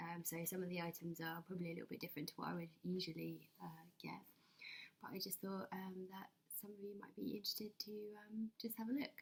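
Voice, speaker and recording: A woman speaks softly at a fairly quick pace, medium in pitch and somewhat breathy. Her pitch varies in an ordinary way. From England. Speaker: ASMR creator. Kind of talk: ASMR shopping haul talk to camera. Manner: quiet, soft-spoken.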